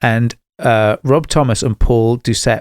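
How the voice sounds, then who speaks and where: A man with a British accent speaks at a medium pitch. The sound is dry and close with no echo, on a very clean recording against a silent background. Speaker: music podcast host. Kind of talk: casual chat. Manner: halting, many restarts.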